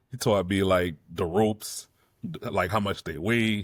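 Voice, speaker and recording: At a fairly slow pace, a man speaks in a dry, close sound with no echo, on a very clean recording with a silent background. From New Orleans, Louisiana. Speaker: actor and independent filmmaker. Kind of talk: casual vlog monologue. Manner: casual, conversational with many fillers.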